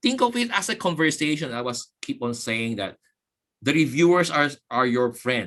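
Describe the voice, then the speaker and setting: A man's voice with a bright, sharp tone. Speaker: guest speaker, university professor. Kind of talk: webinar lecture. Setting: online webinar. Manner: fast; halting, repetitive fillers.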